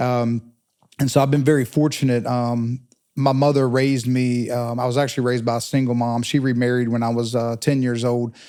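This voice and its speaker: With an Eastern North Carolina accent, a man speaks at a fairly quick pace. His medium pitch carries a dark, mellow tone and monotone, flat intonation. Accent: Eastern North Carolina Southern US. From Eastern North Carolina, Pitt County. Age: 40s. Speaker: telecom professional. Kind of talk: interview conversation.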